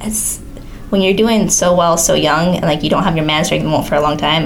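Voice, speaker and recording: In a room with audible echo and noticeable background noise, a woman talks at a fairly quick pace in a very deep, low pitch with ordinary pitch variation. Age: 20s. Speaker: mixed martial arts fighter. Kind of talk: casual chat.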